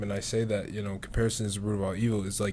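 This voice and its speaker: With an American accent, a man talks in a space with audible room echo. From Syracuse, New York. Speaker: podcast host and college basketball player. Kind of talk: casual chat.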